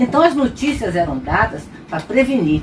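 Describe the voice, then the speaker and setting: Noticeable background noise is heard throughout. Over it, a woman talks at a moderate pace. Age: 70s. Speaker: retired pediatrician. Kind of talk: testimony.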